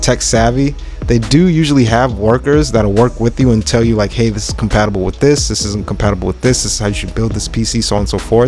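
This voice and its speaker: A man talks at a very fast pace with music in the background. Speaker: YouTube vlogger. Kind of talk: vlog narration. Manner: casual, filler-heavy.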